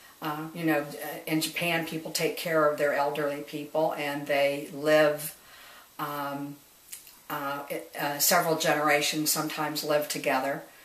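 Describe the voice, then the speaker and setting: With an American accent, the speaker talks at a moderate pace against noticeable background noise. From US Midwest, Dayton, Ohio. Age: 60s. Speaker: retired nurse. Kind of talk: oral history interview. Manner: halting, many fillers.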